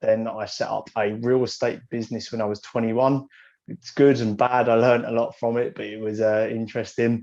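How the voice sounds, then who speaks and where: A medium-pitched man in an English accent, monotone and flat, at a fairly quick pace. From England. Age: 20s. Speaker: young entrepreneur. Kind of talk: podcast interview.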